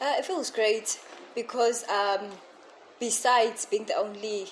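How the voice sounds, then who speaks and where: Noticeable background noise beneath a woman's speech, its pitch varying in an ordinary way. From South Africa, Pietermaritzburg area. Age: 20s. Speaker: entrepreneur. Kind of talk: interview.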